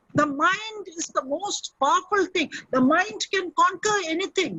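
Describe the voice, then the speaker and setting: This woman's pitch is extremely high, with ordinary variation. She speaks fairly slowly with a Keralan accent. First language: Malayalam. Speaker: motivational speaker. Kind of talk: webinar talk and Q&A. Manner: animated.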